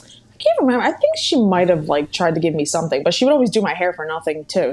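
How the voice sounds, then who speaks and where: In a Philadelphia accent, a woman rushes along at a very fast pace with hardly any pauses, her fairly low voice showing lively intonation and big swings in loudness over noticeable background noise. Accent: Philadelphia-area American English. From US, Bucks County, Pennsylvania near Philadelphia. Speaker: hair stylist. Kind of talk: podcast interview.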